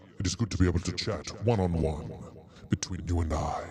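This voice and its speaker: A man's put-on character voice, very deep and low in pitch, with ordinary pitch variation. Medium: game stream. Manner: stilted, formal.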